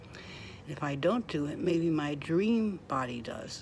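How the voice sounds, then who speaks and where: There is audible room echo around this woman's voice. She has a fairly low pitch and lively intonation. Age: 60s. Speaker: vlogger. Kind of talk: casual monologue.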